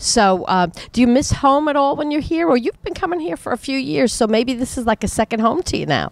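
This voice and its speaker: A woman's high voice with a New York accent, very wide pitch swings and a fairly quick pace, in a dry, close sound with no echo. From US, New York. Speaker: show host. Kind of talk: interview. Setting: music venue.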